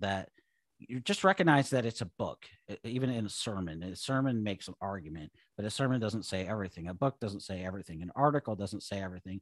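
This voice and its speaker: At a fairly quick pace, a man with a normal speaking voice and an American accent uses lively intonation in a very clean, dry, close recording with a silent background and no echo. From US Pacific Northwest (Seattle). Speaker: ministry director and author. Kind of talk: casual interview chat.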